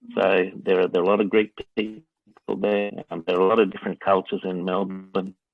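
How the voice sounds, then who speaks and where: Fairly quick delivery in an Australian accent. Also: man. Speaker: interviewee answering students' questions. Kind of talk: interview. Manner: hesitant, many fillers.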